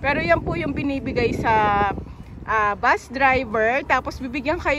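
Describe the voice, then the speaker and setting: A woman speaks at a high pitch with ordinary pitch variation. The sound is dry with no echo, and background noise is noticeable. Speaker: vlogger. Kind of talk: casual vlog chat. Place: street. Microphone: phone near.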